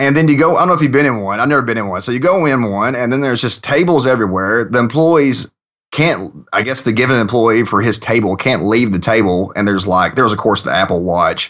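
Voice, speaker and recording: With a Southern US accent, a man races along at a very fast pace with lively intonation and hardly any pauses over a quiet background. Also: medium pitch for a man. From Kentucky, US South. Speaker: software programmer, podcast guest. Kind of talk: casual chat.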